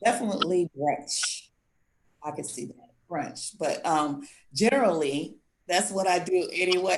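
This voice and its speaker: With lively intonation and big swings in loudness, a woman talks at a fairly slow pace in a fairly low voice. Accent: American. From US South, Gullah Geechee area. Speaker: contestant on a dating show, construction business owner. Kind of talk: dating show Q&A.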